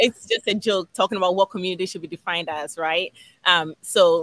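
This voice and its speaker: Dry with no echo, a woman's bright, sharp voice moves at a moderate pace with fairly even intonation. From Ghana. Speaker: behavior analyst and business owner. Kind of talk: casual interview. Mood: warm, reflective.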